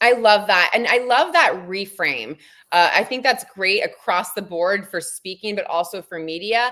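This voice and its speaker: Lively intonation from a woman at a moderate pace, with noticeable background noise. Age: 40s. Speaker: media trainer and PR agency founder. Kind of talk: interview on a live stream. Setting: live stream.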